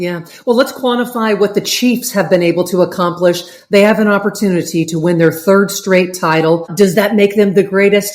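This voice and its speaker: Over noticeable background noise, a woman talks at a moderate pace with hardly any pauses, her medium pitch showing ordinary variation. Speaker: sports talk show host. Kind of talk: interview questions.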